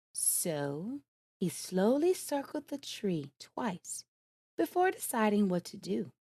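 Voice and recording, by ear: A natural voice reading aloud, quiet background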